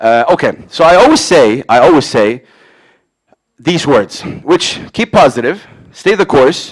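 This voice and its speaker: A man with a fairly high pitch talks at a fairly slow pace with long, frequent pauses and very wide pitch swings. His tone is animated and his loudness very even. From Saudi Arabia. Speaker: radio host and hip hop event organizer. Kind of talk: public talk. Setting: stage with audience.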